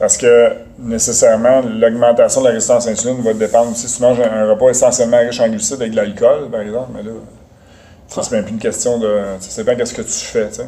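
A man speaks very fast in a monotone, flat intonation, his loudness swinging widely. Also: medium pitch for a man. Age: 40s. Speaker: nutrition specialist and strength coach. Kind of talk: interview.

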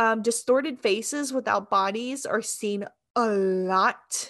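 Against a quiet background, the speaker's pitch varies in an ordinary way. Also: woman. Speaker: podcast co-host. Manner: word stumbles.

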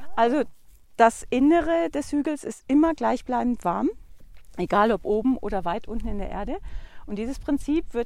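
On a very clean recording with a silent background, a woman speaks with a high pitch. Her pace is moderate. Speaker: lodge owner. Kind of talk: casual interview while walking. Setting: outdoors on a walking trail.

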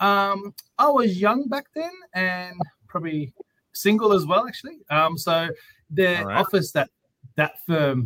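In an Australian accent, a man's bright, sharp voice swings very widely in pitch, the sound dry and close with no echo. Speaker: lawyer and podcast host. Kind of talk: casual interview chat. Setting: video call.

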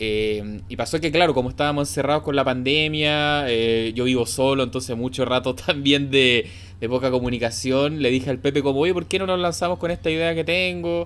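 Fairly quick and lively in intonation, a man speaks at a medium pitch. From Chile, Santiago. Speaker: podcast host. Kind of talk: casual chat. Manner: halting, many fillers and repetitions.

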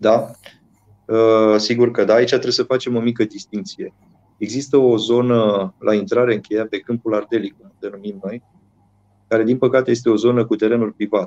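A man talks at a moderate pace in an ordinary speaking voice, medium in pitch with fairly even intonation. The sound is dry and close, with no echo. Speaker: mayor. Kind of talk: interview.

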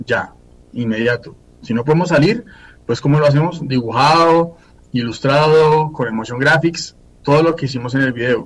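A man's fairly high voice, somewhat breathy, moves at a moderate speed while his pitch varies in an ordinary way. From Colombia, Fusagasugá. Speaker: singer-songwriter and advertising professional. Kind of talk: casual interview.

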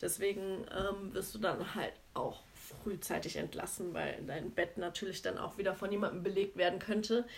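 A woman talks at a medium pitch and a moderate pace. Her voice has vocal fry and fairly even intonation. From Germany, Cologne. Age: 30s. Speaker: podcast co-host, nurse. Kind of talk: casual chat.

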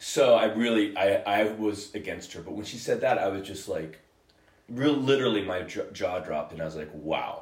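An unremarkable speaking voice, this man's has a fairly low pitch, lively intonation and big swings in loudness at a moderate pace. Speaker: podcast co-host. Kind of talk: casual banter. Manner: joking, playful.

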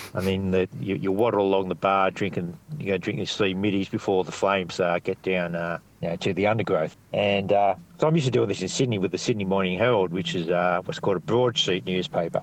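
Speaking very fast with an Australian accent, a man uses a very deep, low pitch with ordinary pitch variation. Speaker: stand-up comedian. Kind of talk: interview chat. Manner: halting, rambling, self-interrupting.

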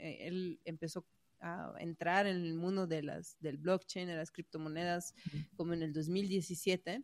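Fairly low-pitched female speech at a fairly slow pace, with a Mexican accent. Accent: sounds Mexican in Spanish. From Croatia. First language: Croatian (speaking Spanish). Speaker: web3 community organizer. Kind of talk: interview.

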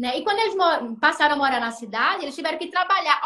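Projecting her voice at an extremely high pitch, a woman speaks at a fairly quick pace with a bright, sharp tone and very wide pitch swings. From Brazil, Recife (Pernambuco). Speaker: feminist sociologist and philosophy teacher, social media host. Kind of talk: Instagram live discussion, explanatory.

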